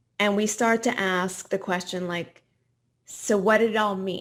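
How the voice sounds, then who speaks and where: At a fairly slow pace, a woman with an unremarkable speaking voice, medium pitch and ordinary pitch variation is heard in a very clean recording with a silent background. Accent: Canadian. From Quebec, Montreal. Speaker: professor and retirement researcher. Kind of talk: podcast interview.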